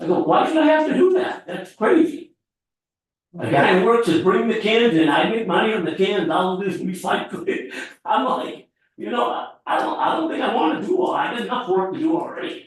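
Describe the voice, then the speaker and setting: Amid audible room echo, a man with a high pitch and very wide pitch swings talks at a fairly quick pace. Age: 70s. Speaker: resident making public comment. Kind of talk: public comment at town meeting. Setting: town board meeting.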